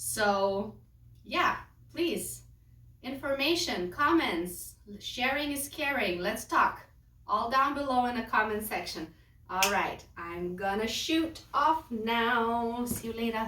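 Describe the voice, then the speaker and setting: A woman's fairly high voice at a very slow pace, lively in intonation, with a Lithuanian accent and audible room echo. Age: 30s. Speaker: lifestyle vlogger. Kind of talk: casual vlog talk.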